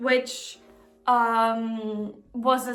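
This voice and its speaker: A woman with a non-native accent speaks over music in the background, with audible room echo. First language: not English. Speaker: book vlogger. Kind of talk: casual book haul vlog. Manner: halting, stumbles over words.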